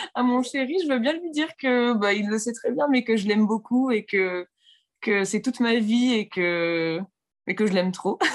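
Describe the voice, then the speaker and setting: With a quiet background, a woman speaks at a fairly slow pace with lively intonation. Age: 20s. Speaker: interviewee on love story. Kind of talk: personal storytelling interview.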